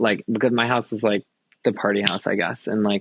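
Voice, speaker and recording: A man with an American accent talks at a very fast pace. His intonation is monotone and flat. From Long Island, New York. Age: 20s. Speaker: professional dancer. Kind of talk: casual chat. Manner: casual, filler-heavy.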